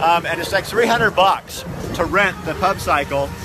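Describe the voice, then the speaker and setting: Set against noticeable background noise, this man's speech has a dry sound with no echo and a moderate pace. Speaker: video host. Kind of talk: casual vlog chat. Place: bicycle. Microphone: phone near.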